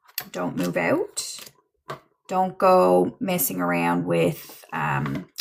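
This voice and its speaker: A woman talks with a Newfoundland accent. Her pace is very slow. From Newfoundland, Canada. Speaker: livestream psychic medium. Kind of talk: livestream tarot reading chat. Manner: casual, halting with fillers.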